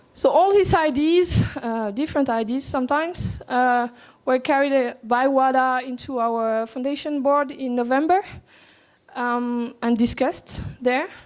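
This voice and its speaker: At a fairly slow pace, a woman speaks at a high pitch with ordinary pitch variation. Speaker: anti-doping agency official. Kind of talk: conference presentation. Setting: conference room with audience. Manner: soft, not loud; halting, many fillers and repetitions.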